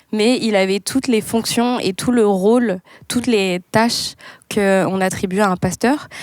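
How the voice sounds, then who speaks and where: A woman with an unremarkable speaking voice at medium pitch, fairly slow pace, ordinary pitch variation, very even loudness and a dry, close sound with no echo. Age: 20s. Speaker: pastor's child. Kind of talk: casual chat.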